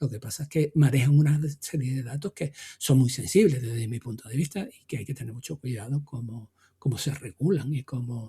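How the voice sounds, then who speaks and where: At a fairly quick pace, a man speaks in a somewhat breathy, dark, mellow voice of medium pitch with ordinary pitch variation and big swings in loudness, the sound dry and close with no echo. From Extremadura, Spain. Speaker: tech podcast co-host. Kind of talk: casual chat. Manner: halting, many repetitions.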